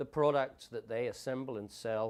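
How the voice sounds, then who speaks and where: A man at medium pitch with an English accent, at a moderate pace with ordinary pitch variation. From England. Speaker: conference director. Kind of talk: promotional talk.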